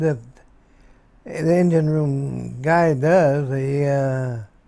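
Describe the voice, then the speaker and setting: A man with an American accent has a dark, mellow tone. He speaks at a very slow pace. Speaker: war veteran. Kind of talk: interview. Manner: halting.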